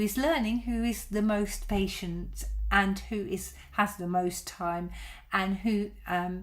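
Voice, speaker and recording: This is a woman talking. Her voice sounds somewhat breathy. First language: Dutch. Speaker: violin teacher. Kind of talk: live stream Q&A. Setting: live broadcast. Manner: halting, many fillers.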